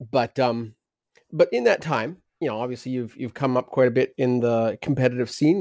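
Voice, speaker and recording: A man with a normal speaking voice, medium in pitch, at a moderate pace and with fairly even intonation, on a very clean, dry, close recording with no echo and a silent background. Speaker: podcast co-host. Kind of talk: casual podcast chat.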